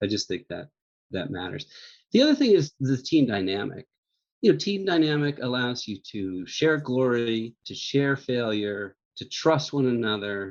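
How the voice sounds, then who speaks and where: A man talks in an ordinary speaking voice with lively intonation. He keeps a moderate pace over a quiet background. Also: medium pitch for a man. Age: 60s. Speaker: magazine editor-in-chief. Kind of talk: interview.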